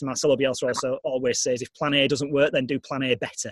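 In a Yorkshire accent, a man speaks very fast, the sound dry and close with no echo. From northern England, Leeds. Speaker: sports radio editor and broadcaster. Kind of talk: casual interview. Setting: video call.

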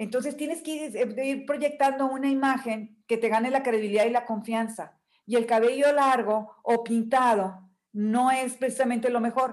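A woman speaks with a high pitch and a northern Mexican accent. Her intonation is fairly even and her pace moderate. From northern Mexico, Nuevo León. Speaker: image consultant and coach. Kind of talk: interview. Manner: firm, direct.

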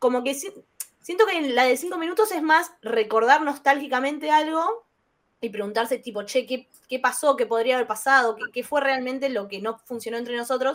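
In a Rioplatense accent, a woman speaks with a high pitch and ordinary pitch variation. Her pace is moderate. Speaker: podcast co-host. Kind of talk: casual chat.

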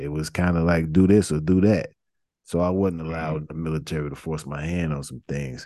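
Against a quiet background, a man with an American accent speaks at a fairly quick pace in a very deep, low voice with a dark, mellow tone. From US Midwest, Chicago. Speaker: podcast host, veteran. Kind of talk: casual interview. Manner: animated.

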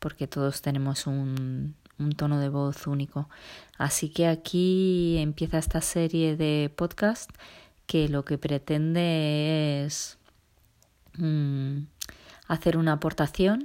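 In a very clean recording with a silent background, a woman with a very deep, low pitch and a dark, mellow tone speaks at a very slow pace with fairly even intonation and long, frequent pauses. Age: 40s. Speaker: business consultant and trainer. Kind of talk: solo podcast monologue. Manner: halting with filler sounds.

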